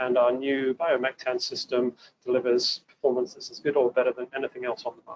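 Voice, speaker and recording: With an English accent, a man speaks at a fairly quick pace and a medium pitch. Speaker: water treatment engineer presenting a webinar. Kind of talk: technical webinar presentation. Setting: webinar broadcast.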